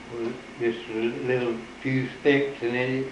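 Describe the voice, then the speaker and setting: Over noticeable background noise, a man talks in a monotone, flat intonation. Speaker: rest home resident. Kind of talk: interview answer.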